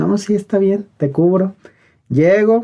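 This man's tone is dark and mellow, with ordinary pitch variation. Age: 30s. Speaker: lawyer. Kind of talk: interview.

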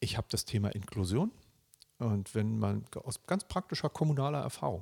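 A man at medium pitch sounds somewhat breathy and makes very wide pitch swings, on a very clean recording with a silent background and a dry, close sound with no echo. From Germany, Berlin (East). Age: 50s. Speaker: local politician, district administrator candidate. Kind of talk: interview.

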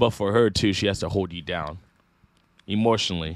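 On a very clean recording with a silent background, a man with an American accent talks at a very fast pace in a fairly low pitch. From Northern California (Sacramento area). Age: 20s. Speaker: YouTuber. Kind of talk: casual chat.

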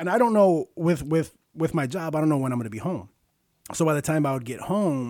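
Lively intonation marks this man's fairly high voice, an unremarkable speaking voice. He moves at a fairly quick pace. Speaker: podcast co-host. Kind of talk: casual banter between two friends. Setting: podcast recording. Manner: joking, interrupts and overlaps.

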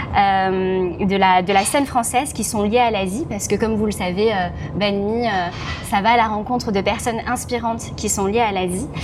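With audible room echo and noticeable background noise, a woman speaks at a moderate pace and a fairly high pitch. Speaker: podcast host. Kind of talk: casual interview. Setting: restaurant.

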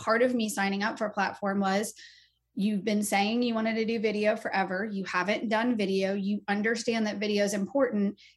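This woman has a medium pitch and fairly even intonation. Her voice is somewhat breathy. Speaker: real estate agent. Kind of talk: interview chat.

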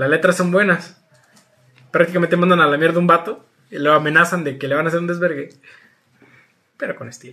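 A man with a Mexican accent speaks at a very fast pace in a high pitch with fairly even intonation. He takes long, frequent pauses, and his loudness swings widely. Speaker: podcast co-host. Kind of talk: casual chat. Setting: recorded remotely.

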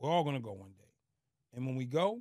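A man talks very fast in an animated tone. The recording is very clean, dry and close, with a silent background and no echo. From Boston. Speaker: former prisoner turned speaker. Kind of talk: casual interview.

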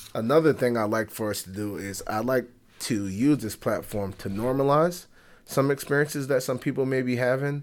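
With an American accent, a man talks at a moderate pace in a plain, everyday voice, medium in pitch with ordinary pitch variation. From Bronx, New York. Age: 30s. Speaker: podcast host, therapist and professor. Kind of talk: solo podcast monologue. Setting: recording at workplace. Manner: many fillers (um, uh).

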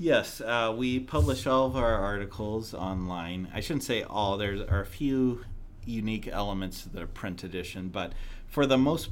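Audible room echo surrounds a man speaking at a fairly slow pace in a fairly low pitch. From US Midwest, southern Illinois near St. Louis. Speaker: magazine editor. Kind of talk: interview.

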